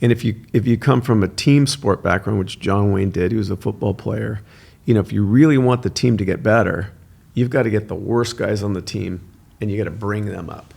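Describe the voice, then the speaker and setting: Here a man has an unremarkable speaking voice. He talks fairly quickly at a fairly low pitch. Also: ordinary pitch variation. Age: 60s. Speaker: son of a film star, podcast guest. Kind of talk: casual interview chat.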